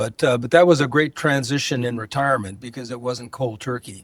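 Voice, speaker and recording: Speaking very fast, a man with an American accent uses a medium pitch with ordinary variation. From Southern California (San Pedro, Los Angeles). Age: 80s+. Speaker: retired healthcare executive. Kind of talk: casual interview conversation.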